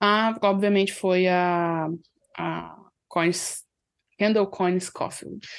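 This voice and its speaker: A woman's medium-pitched voice, very slow and flat, with long, frequent pauses against a quiet background. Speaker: hockey podcaster. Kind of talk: casual chat.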